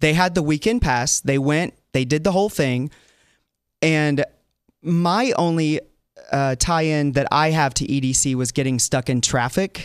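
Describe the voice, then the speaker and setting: A man with an American accent and a plain, everyday voice speaks at a fairly slow pace in a fairly high pitch, with ordinary pitch variation and very even loudness, in a very clean recording with a silent background. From US South. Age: 40s. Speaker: fill-in talk show host. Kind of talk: casual chat.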